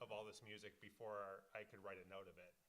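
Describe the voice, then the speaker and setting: A man speaks at a fairly quick pace with an American accent. His voice sits fairly low in pitch and has a bright, sharp tone. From Detroit, Michigan, US. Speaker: film composer. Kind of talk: panel discussion.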